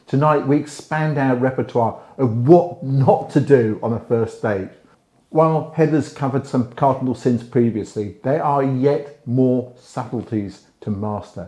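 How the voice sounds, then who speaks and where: A man speaks at a fairly slow pace with a British accent, his medium-pitched voice rising and falling in an ordinary way. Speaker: relationship advice host. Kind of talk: advice monologue to camera. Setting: indoors, library.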